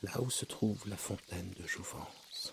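Noticeable background noise sits behind the speech. A man talks in a soothing tone, fairly low in pitch, with ordinary pitch variation. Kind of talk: guided hypnosis for sleep. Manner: slow, soft, soothing, hypnotic.

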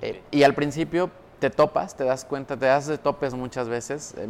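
Talking at a moderate pace with fairly even intonation, a man uses a normal speaking voice. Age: 20s. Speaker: entrepreneur and marketing consultant. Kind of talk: casual interview chat.

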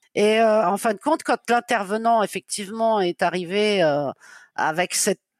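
A woman at a moderate pace, in a very clean recording with a silent background. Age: 50s. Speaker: freelance web writer and novelist. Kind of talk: interview. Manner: hesitant, frequent fillers.

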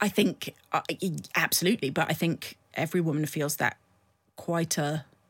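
The speaker has a plain, everyday voice and talks at a moderate pace. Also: woman. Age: 40s. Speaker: political adviser. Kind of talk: interview.

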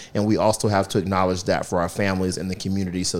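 A man with an American accent speaks in a very deep, low pitch. His intonation is monotone and flat. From US South, southeastern North Carolina. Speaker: school principal. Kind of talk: interview conversation.

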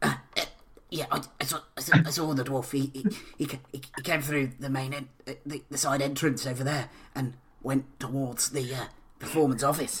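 Using a put-on character voice, a man speaks in a flat monotone at medium pitch and a fairly slow pace, with long, frequent pauses.

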